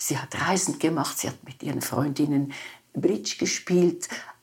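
With vocal fry, a woman's voice makes very wide pitch swings. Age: 90s. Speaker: psychotherapist and author. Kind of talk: interview conversation.

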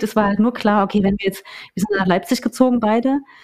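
A woman is speaking. Her pitch is medium. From eastern Germany, small town in Saxony-Anhalt. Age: 30s. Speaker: journalist. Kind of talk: casual chat. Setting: in-person recording in a house.

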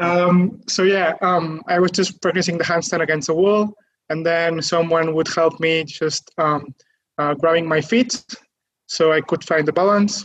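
A man's high-pitched voice at a fairly slow pace, with very even loudness and fairly even intonation. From Catalonia, Spain. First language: Catalan or Spanish. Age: 20s. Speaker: calisthenics athlete. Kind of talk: interview.

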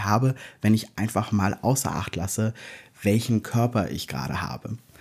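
Dark and mellow in tone, a man speaks at medium pitch and a moderate pace with fairly even intonation. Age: 40s. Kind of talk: interview testimony. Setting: video call.

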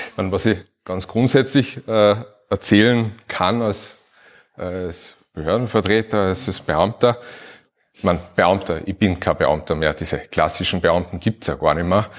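A normal speaking voice from a man, fairly low in pitch and fairly slow, with ordinary pitch variation, in a very clean recording with a silent background. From Upper Austria. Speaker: administrative lawyer. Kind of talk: live podcast talk before audience. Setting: stage with audience.

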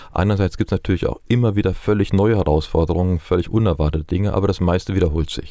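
On a very clean recording with a silent background, a man with a very deep, low pitch and a dark, mellow tone talks at a very fast pace, with fairly even intonation and hardly any pauses. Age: 60s. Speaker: palliative care physician. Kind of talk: interview. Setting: studio.

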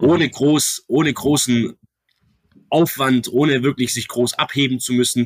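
With ordinary pitch variation and a medium pitch, a man talks on a very clean recording where the background is silent. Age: 20s. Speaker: real estate agent and company co-founder. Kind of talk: podcast interview.

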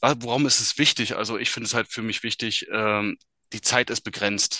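A man speaks with monotone, flat intonation at a moderate pace and medium pitch. His tone is bright and sharp, in a dry, close sound with no echo. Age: 30s. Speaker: business successor in family firm. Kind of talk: interview. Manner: hesitant, many filler sounds.

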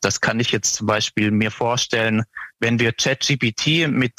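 A man talks at a fairly slow pace in a bright, sharp tone. The sound is dry and close, with no echo. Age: 20s. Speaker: portfolio manager. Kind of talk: interview.

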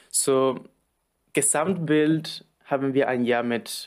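In a Spanish accent, a man talks at a medium pitch. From Argentina. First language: Spanish (speaking German). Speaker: supply chain planner. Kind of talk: interview. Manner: halting.

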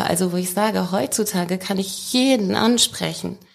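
A woman talks at a moderate pace at a medium pitch. It is a normal speaking voice. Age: 40s. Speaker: leadership expert. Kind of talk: casual interview.

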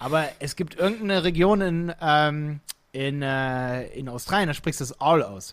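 An animated man with a fairly high pitch speaks at a moderate pace in a very clean recording with a silent background. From Lower Saxony, Hildesheim. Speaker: entrepreneur, digital agency founder. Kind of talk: casual interview chat.

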